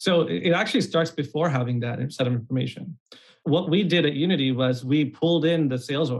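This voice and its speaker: A man speaks at a fairly quick pace in a somewhat breathy, fairly high voice with ordinary pitch variation. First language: not English. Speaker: startup co-founder, former growth strategist. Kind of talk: casual interview.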